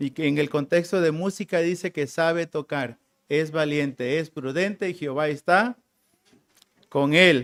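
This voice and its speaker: Spoken at a fairly slow pace in a Tabasco accent with ordinary pitch variation, the clip is a very clean recording with a silent background and a dry, close sound with no echo. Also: man, fairly high pitch for a man. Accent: Tabasco Mexican Spanish. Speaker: preacher. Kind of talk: sermon.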